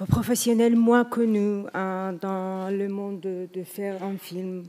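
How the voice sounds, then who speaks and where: A woman speaks very slowly at a medium pitch, her tone dark and mellow. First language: not French (speaking French). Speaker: film director, award winner. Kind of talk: acceptance speech. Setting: stage with audience. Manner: halting.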